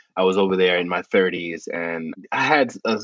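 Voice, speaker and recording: This man speaks with a New York accent. His pitch is fairly low. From New York City, South Bronx. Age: 50s. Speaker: author and music journalist. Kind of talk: interview.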